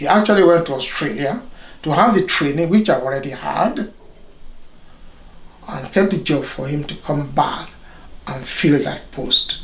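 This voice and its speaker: A man with a Nigerian accent speaks at a fairly high pitch with lively intonation and long, frequent pauses, with audible room echo and noticeable background noise. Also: moderate pace. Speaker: doctor, consultant radiologist. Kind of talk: interview.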